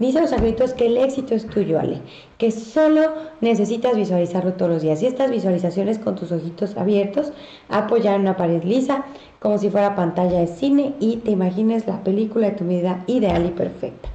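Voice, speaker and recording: Someone with a Mexican accent speaks at a fairly quick pace with lively intonation, amid noticeable background noise and audible room echo. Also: woman, medium pitch for a woman. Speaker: psychic medium delivering angel messages. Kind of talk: live-stream reading of viewer messages. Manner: animated.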